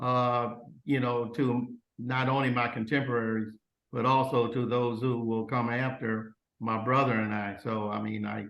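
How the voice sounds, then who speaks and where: A man with an American accent talks at a moderate pace and medium pitch. There is audible room echo. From Oklahoma. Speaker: retired compliance officer. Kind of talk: interview. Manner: halting, many fillers.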